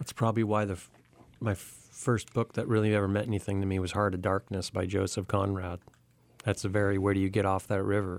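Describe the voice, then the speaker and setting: A man's fairly low voice in a Californian accent, very fast in pace with monotone, flat intonation. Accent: Californian American. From Southern California, Santa Monica. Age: 40s. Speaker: magazine editor. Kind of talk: casual chat. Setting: radio studio.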